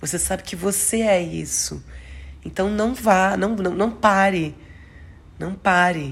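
Speaking very slowly with long, frequent pauses, a woman sounds somewhat breathy amid audible room echo. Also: medium pitch for a woman, fairly even intonation. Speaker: astrology podcaster. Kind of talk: astrology forecast monologue. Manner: halting, self-correcting.

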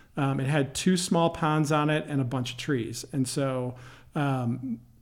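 A man talks in a normal speaking voice at a medium pitch. His intonation stays fairly even. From Michigan, near Detroit. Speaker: company CEO. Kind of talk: interview.

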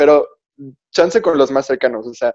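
A man's voice sits at a fairly high pitch with a dark, mellow tone. The sound is dry and close, with no echo. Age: young. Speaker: podcast guest. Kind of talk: casual chat.

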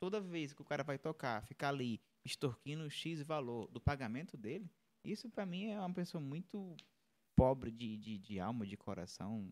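In a very clean recording with a silent background, a man with a fairly high pitch moves through very wide pitch swings at a moderate pace. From Horizonte, Ceará, Brazil. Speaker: musician and sound technician. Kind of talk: casual live-stream chat. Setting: live stream studio.

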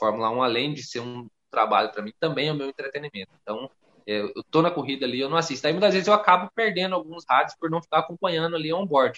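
Very fast speech carries lively intonation throughout. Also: man, fairly high pitch for a man. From Rondônia, northern Brazil. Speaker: content creator, F1 YouTube channel owner. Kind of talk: casual podcast interview chat.

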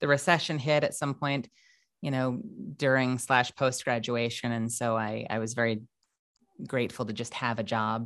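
A woman's very deep, low voice with an American accent, animated in tone, at a moderate pace, in a very clean recording with a silent background. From New York, Long Island. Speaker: voice actor. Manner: talkative, animated, digressive.

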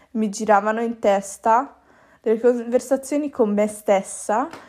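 A woman talks at a fairly slow pace. Her dark, mellow tone carries ordinary pitch variation. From Italy. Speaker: pastry chef. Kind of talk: casual solo podcast monologue. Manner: casual, slangy with English words.

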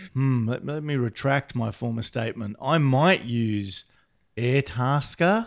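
Against a silent background in a very clean recording, a man with a plain, everyday voice speaks at medium pitch and a fairly slow pace, with ordinary pitch variation. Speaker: podcast co-host, academic. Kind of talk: casual banter podcast.

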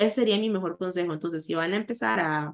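A woman's medium-pitched voice. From Costa Rica, San José. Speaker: content creator and anti-racism activist. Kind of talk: interview.

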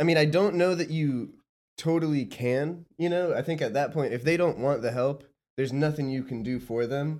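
A plain, everyday voice from a man, fairly high in pitch, with ordinary pitch variation at a moderate pace. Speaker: podcast co-host. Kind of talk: casual chat.

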